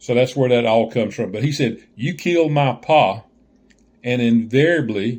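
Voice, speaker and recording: A man with a Southern US accent and ordinary pitch variation. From Southern US (Georgia). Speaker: joke teller. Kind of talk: casual talk to camera.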